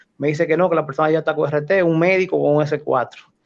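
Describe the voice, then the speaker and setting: A man speaks at a fairly quick pace with ordinary pitch variation. He has an unremarkable speaking voice, fairly high in pitch. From Dominican Republic, Cotuí and Santo Domingo. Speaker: Red Cross rescue volunteer. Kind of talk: interview, personal life story.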